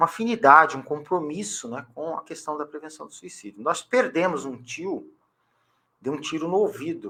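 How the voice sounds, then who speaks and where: A man's fairly high, bright, sharp voice at a moderate pace, with lively intonation. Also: big swings in loudness. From Brazil, São Paulo coast (São Vicente/Santos). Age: 60s. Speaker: educator and historian. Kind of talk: interview.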